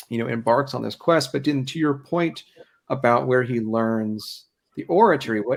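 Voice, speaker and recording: With an American accent, a man talks at a fairly quick pace with lively intonation. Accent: slight Ohio accent, mostly suppressed. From Ohio. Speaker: historian and event host. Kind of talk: public history talk, conversational discussion. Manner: hesitant, frequent fillers and repetitions.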